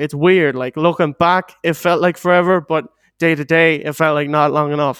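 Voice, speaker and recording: A man's fairly high, monotone, flat voice in a western Irish accent at a fairly quick pace, on a very clean recording with a silent background and a dry, close sound with no echo. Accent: Irish (western Ireland). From Ireland, Galway. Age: 20s. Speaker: podcast guest. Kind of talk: casual chat.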